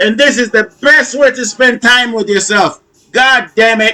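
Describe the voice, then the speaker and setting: A man speaks at a moderate pace in a raised, projected voice with a high pitch. His tone is bright and sharp, and his pitch varies in an ordinary way. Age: 50s. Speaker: fitness trainer. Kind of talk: workout video commentary. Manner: animated.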